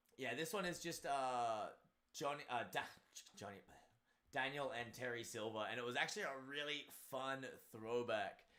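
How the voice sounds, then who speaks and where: In a room with audible echo, a man with a bright, sharp tone and medium pitch speaks at a moderate pace with ordinary pitch variation and long, frequent pauses. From Australia. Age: 30s. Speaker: martial arts instructor and streamer. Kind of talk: casual live stream chat.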